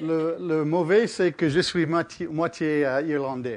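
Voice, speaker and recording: Speaking in an English accent, a man with a fairly high pitch moves at a very slow pace with ordinary pitch variation. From Canada. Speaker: physicist giving public lecture. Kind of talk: public lecture. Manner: halting.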